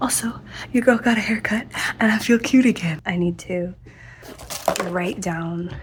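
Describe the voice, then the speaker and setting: Whispering from a woman at a moderate speed, noticeable background noise behind her. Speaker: crochet vlogger. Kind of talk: casual vlog. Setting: at home at night.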